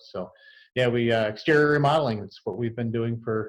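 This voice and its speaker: An unremarkable speaking voice goes along at a moderate pace. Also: man. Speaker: construction business owner. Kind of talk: interview answer.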